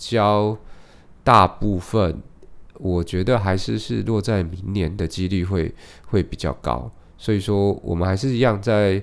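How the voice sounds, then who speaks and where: A man's fairly low voice at a very slow pace with ordinary pitch variation, in a very clean recording with a silent background. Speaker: podcast host, real estate investor. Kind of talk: solo podcast monologue on housing market. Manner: casual, hesitant with fillers.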